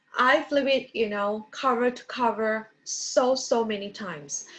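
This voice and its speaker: With ordinary pitch variation, a woman talks in a normal speaking voice at a fairly high pitch. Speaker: book review vlogger. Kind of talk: book review talk.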